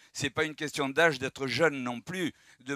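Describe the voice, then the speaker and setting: A man's bright, sharp, medium-pitched voice with ordinary pitch variation, dry and close with no echo, in a very clean recording with a silent background. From France. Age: 70s. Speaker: audience member. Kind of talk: public debate.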